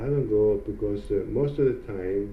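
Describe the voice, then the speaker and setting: A man with a non-native accent speaks at a fairly slow pace, with audible echo from the room. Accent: foreign. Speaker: hairdresser and salon owner. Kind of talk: interview. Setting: in a hair salon. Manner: halting.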